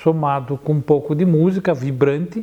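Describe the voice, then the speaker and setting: This man's voice has a dark, mellow tone and a fairly high pitch, moving at a fairly slow pace with ordinary pitch variation. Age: 60s. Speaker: photographer. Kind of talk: interview. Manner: halting.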